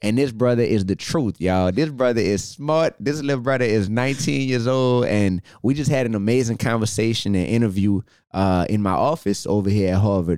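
In a Southern US accent, a man with a medium pitch speaks in an animated tone at very even loudness, on a very clean recording with a silent background. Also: ordinary pitch variation, fairly quick pace. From US South. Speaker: podcast host. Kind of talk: casual interview. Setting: office.

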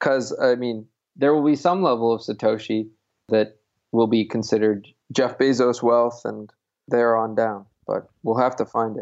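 An American accent marks this man's unremarkable speaking voice, delivered at medium pitch and a moderate pace with fairly even intonation. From Connecticut. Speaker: Bitcoin activist. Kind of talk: interview.

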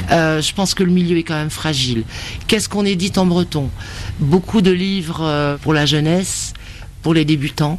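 A woman speaks at a very deep, low pitch with ordinary pitch variation. Her long, frequent pauses sit over noticeable background noise. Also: moderate pace. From Brittany. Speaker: bookseller. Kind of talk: interview.

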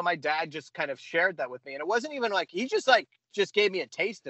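This is a man talking. His pace is very fast. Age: 40s. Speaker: comic book podcast co-host. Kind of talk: casual chat.

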